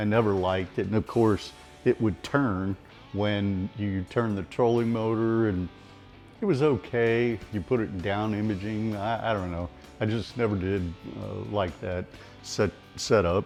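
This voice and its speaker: Music plays behind a man with an American accent and a fairly low pitch. He speaks at a fairly slow pace with fairly even intonation. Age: 60s. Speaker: club tournament bass angler. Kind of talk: casual talk to camera. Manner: honest, conversational.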